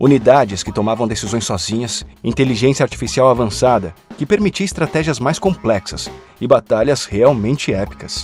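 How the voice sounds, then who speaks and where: Music plays behind a man speaking at a moderate pace. His medium-pitched voice swings very widely in pitch. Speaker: voice actor. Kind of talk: documentary narration. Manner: natural.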